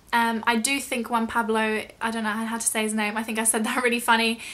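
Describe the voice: A woman with a bright, sharp tone and fairly high pitch speaks at a fairly quick pace with little pitch movement.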